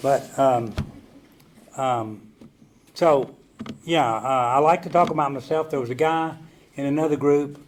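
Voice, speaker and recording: A man in a Southern US accent, fairly high pitched and fairly slow, with fairly even intonation and long, frequent pauses. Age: 70s. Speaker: recovery meeting speaker. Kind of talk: recovery testimony talk. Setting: stage with audience. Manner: halting, many fillers.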